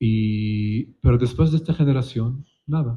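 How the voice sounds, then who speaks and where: A man speaks in a somewhat breathy voice. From Palestine. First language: Palestinian colloquial Arabic (speaking Spanish). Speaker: literary translator. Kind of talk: panel discussion. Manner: halting, with frequent repetitions and fillers.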